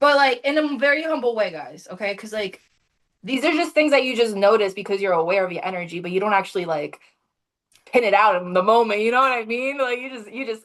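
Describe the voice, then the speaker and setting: Animated and very fast, a woman speaks at a fairly high pitch with lively intonation and big swings in loudness. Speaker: spiritual podcast host. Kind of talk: casual chat.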